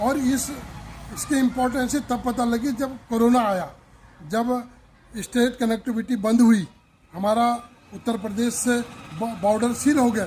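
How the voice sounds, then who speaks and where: A man with an extremely high pitch and fairly even intonation is heard through noticeable background noise. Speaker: local activist. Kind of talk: street interview.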